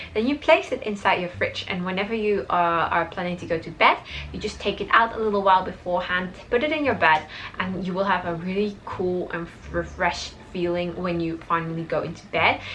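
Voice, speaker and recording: With music in the background, a woman with a Dutch accent talks at a fairly quick pace, medium in pitch with ordinary pitch variation. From Belgium, Dutch-speaking. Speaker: lifestyle vlogger. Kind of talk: casual tutorial vlog. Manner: animated, with frequent fillers.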